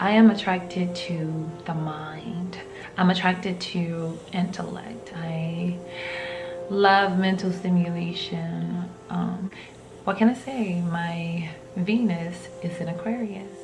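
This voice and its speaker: With music in the background and audible room echo, a woman with an American accent speaks very slowly at a fairly low pitch and with fairly even intonation. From US South, rural. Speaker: vlogger. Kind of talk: casual talk to camera.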